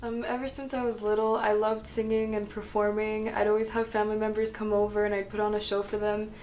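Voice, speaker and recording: A woman with a French accent talks at a very fast pace with hardly any pauses and a monotone, flat intonation. Audible room echo surrounds her voice. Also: fairly high pitch for a woman. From Quebec and Ontario, Canada (Montreal, Ottawa). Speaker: emerging actress. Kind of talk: documentary interview. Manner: hesitant with many fillers.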